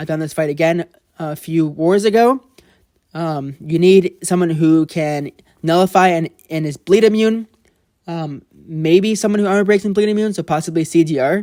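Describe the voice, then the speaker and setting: A man's high yet dark, mellow voice at a moderate pace with ordinary pitch variation, in a dry, close sound with no echo. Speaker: mobile game commentator. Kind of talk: gameplay commentary. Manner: halting, stumbling over words; casual, informal.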